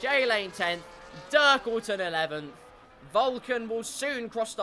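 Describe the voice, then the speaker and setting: Over music in the background, a man with an English accent speaks at a moderate pace in a raised, projected voice with lively intonation. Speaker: sim racing league commentator. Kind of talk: live commentary. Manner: animated.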